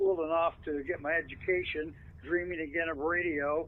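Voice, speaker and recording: A man with a Pacific Northwest accent speaks in a high, monotone, flat voice at a fairly slow pace. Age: 80s+. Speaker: veteran radio broadcaster. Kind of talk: interview.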